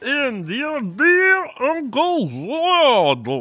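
This man performs a put-on character voice. The pitch he uses is extremely high. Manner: funny, rehearsing an act.

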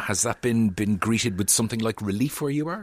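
A man speaks with an Irish accent and a medium pitch. His intonation is lively. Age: 40s. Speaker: radio host. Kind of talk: radio book show chat.

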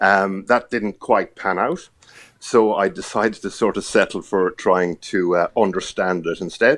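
With an Irish accent, a man talks at a fairly low pitch. His pace is fairly slow, and his pitch variation is ordinary. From Ireland. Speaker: TV journalist. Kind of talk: casual interview chat.

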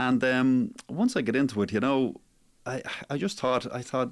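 This man speaks at a moderate pace, with a medium pitch and ordinary pitch variation.

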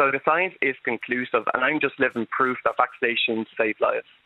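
A man talks at a fairly quick pace with an Irish accent. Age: 30s. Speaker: health activist and PhD candidate. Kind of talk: radio interview. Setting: phone call.

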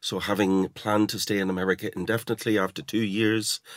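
On a very clean recording with a silent background, a man with a slight Irish accent speaks at a fairly quick pace with fairly even intonation. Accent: smoothed generic Irish, slight. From Dundalk, Ireland. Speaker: poet and novelist.

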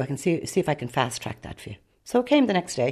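A woman talks at a very fast pace with an Irish accent. Her tone is dark and mellow. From Ireland, Dublin area (Rush). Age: 70s. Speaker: adoptee. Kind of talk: personal testimony.

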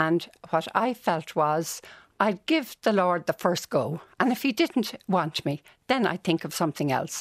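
A woman's fairly low voice with lively intonation at a fairly slow pace, dry and close with no echo, in a very clean recording with a silent background. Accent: Dublin. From Dublin, Ireland. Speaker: nun and music educator. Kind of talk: radio interview. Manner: animated.

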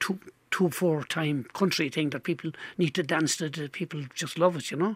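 The man has a normal speaking voice, pitched fairly high, delivered at a moderate pace in a dry, close sound with no echo. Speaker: folk singer. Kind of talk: casual chat.

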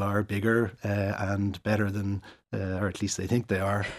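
A man with an Irish accent, fairly low in pitch and fairly slow, on a very clean recording with a silent background. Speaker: urologist. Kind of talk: interview. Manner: halting.

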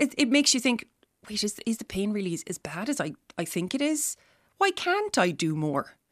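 In an Irish accent, a woman with a fairly high pitch speaks with very wide pitch swings in a dry, close sound with no echo. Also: fairly quick pace. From Ireland, Tipperary. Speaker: chronic pain patient. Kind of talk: personal testimony interview.

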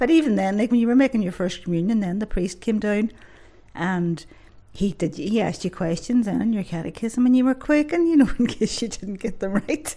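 A woman with a Northern Irish accent, lively intonation and a fairly quick pace. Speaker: grandmother. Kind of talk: reminiscing in a kitchen interview. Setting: home kitchen. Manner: warm, gentle; reflective.

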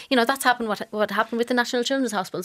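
A woman speaks with an Irish accent. The recording is very clean and dry, close with no echo, over a silent background. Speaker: news editor. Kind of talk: panel discussion.

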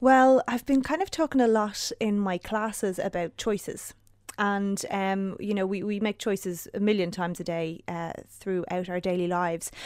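A woman's normal speaking voice of medium pitch, with ordinary pitch variation. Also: moderate pace. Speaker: yoga teacher and wellness writer. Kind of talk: casual chat. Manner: calm, soothing.

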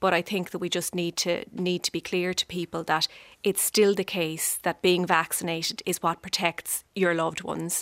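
A woman with an Irish accent talks at a moderate pace and medium pitch. The recording is very clean, with a silent background and a dry, close sound with no echo. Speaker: politician. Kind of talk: radio panel debate. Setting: studio.

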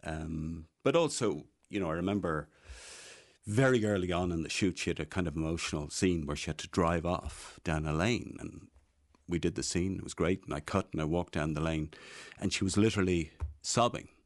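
The speaker has a Dublin accent, heard against a quiet background. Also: man, very deep, low pitch for a man, ordinary pitch variation, fairly quick pace. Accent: Irish, Dublin. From Ireland, Dublin (born in Meath). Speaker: film-maker and writer. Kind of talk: casual chat. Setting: studio.

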